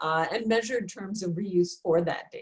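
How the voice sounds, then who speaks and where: A woman talks at a moderate pace in a somewhat breathy voice with ordinary pitch variation. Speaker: research administrator presenting a seminar. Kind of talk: webinar presentation. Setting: virtual seminar.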